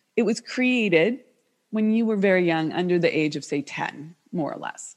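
A woman's normal speaking voice with an American accent, medium pitch, lively intonation and a moderate pace. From United States. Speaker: business coach. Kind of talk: interview.

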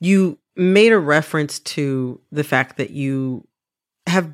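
A woman's very deep, low voice with ordinary pitch variation, in a very clean recording against a silent background. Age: 30s. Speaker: podcast host. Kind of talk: scripted narration; interview.

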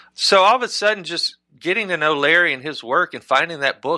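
With a Southern US accent and lively intonation, a man speaks at a moderate pace in a bright, sharp tone on a very clean recording with a silent background and a dry, close sound with no echo. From Mississippi. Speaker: novelist and screenwriter. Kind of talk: interview.

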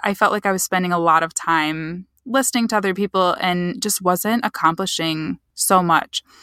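A woman with a Midwestern American accent speaks at a moderate pace and medium pitch with a bright, sharp tone and hardly any pauses, in a very clean recording with a silent background and a dry, close sound with no echo. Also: ordinary pitch variation. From US Midwest, Michigan. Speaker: social media marketer. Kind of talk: casual interview.

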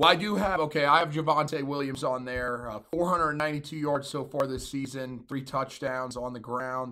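A man's voice comes through bright and sharp at a fairly high pitch with ordinary pitch variation. He speaks with hardly any pauses. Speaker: college football podcast host. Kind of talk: casual sports chat.

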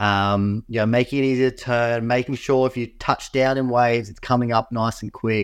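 A man at medium pitch talks at a moderate pace with fairly even intonation in a plain, everyday voice. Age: 30s. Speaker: pro wing foil competitor. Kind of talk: casual chat. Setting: video call from home.

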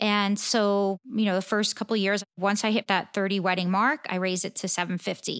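A woman with an American accent speaks in a plain, everyday voice at medium pitch and a fairly quick pace, the sound dry and close with no echo on a very clean recording with a silent background. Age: 50s. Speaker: portrait photographer and educator. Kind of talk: interview.

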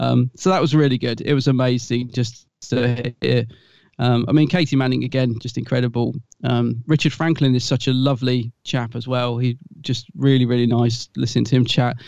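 Medium-pitched and moderately paced, this man speaks with a British accent. His intonation stays fairly even. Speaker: podcast co-host. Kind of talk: casual chat.

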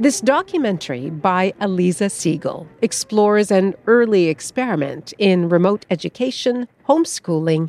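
A woman talks at a moderate pace and medium pitch. Her pitch swings very widely, and the sound is dry and close with no echo. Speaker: radio host. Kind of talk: scripted narration. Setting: studio.

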